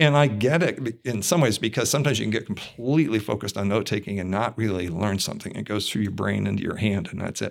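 The speech is very fast, with hardly any pauses and ordinary pitch variation. Vocal fry is present. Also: man, fairly low pitch for a man. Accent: American. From Ohio, US. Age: 60s. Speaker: physics and astronomy professor. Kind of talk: casual interview. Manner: hesitant with many fillers.

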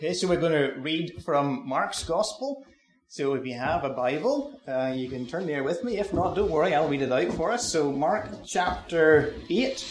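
A man with a Northern Irish accent speaks at a fairly high pitch with lively intonation. Room echo is audible, and background noise is noticeable. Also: moderate pace. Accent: Northern Irish (Ulster). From Northern Ireland, County Antrim. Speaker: mission society worker. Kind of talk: church talk.

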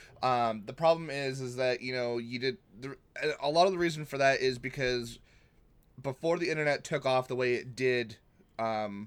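A plain, everyday voice from a man, medium in pitch and moderate in pace, with ordinary pitch variation. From New England, US. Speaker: podcast co-host. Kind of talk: casual chat. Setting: online call.

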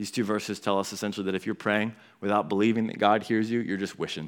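The recording is very clean, with a silent background. A man talks at a fairly quick pace with fairly even intonation. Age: 20s. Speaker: pastor. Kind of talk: sermon. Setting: church.

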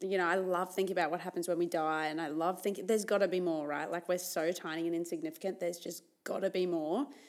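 A woman with an Australian accent talks at a very fast pace with fairly even intonation. The recording is very clean, with a silent background. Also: fairly low pitch for a woman, hardly any pauses. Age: 20s. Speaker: podcast co-host. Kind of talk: casual chat.

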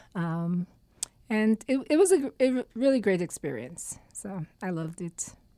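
In a dry, close recording with no echo, a woman with a medium-pitched, dark, mellow voice talks very slowly with hardly any pauses, very wide pitch swings and big swings in loudness. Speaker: university staff member. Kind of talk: casual chat. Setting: studio.

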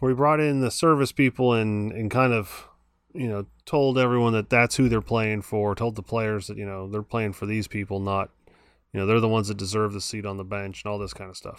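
A plain, everyday voice from a man, fairly low in pitch with ordinary pitch variation, at a fairly quick pace on a very clean recording with a silent background. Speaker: podcast co-host, sports fan. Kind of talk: casual chat.

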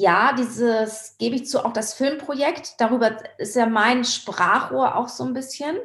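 Very slow delivery from a woman, her fairly high voice carrying ordinary pitch variation. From Hamburg, northern Germany. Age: 50s. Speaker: surfer and filmmaker. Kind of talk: interview conversation.

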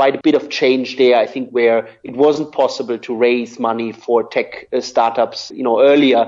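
A man speaks in a German accent at a moderate pace. His pitch is medium, and his intonation is flat and monotone. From southern Germany. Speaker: media executive. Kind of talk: interview.

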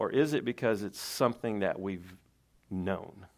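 A man with a Southern US accent at a fairly slow pace, on a very clean recording with a silent background. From Tennessee. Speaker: lay preacher. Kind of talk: sermon. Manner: halting.

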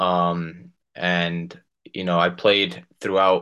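Over a quiet background, a man talks with a New Jersey accent. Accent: New Jersey American. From New Jersey, US. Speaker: professional soccer player. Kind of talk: casual interview.

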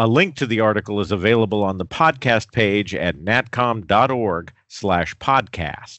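In a plain, everyday voice, a man with an American accent speaks at a fairly low pitch, with ordinary pitch variation. His pace is fairly slow, yet he leaves hardly any pauses. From US Southwest, New Mexico. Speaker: podcast host, association executive director. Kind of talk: scripted announcements; interview. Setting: studio.

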